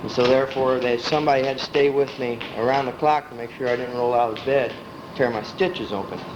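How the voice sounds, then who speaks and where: A man with an American accent at a very fast pace, medium pitch and fairly even intonation, with audible room echo and noticeable background noise. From Illinois, US Midwest. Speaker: family elder telling his life story. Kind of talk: life story reminiscence. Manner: casual, conversational.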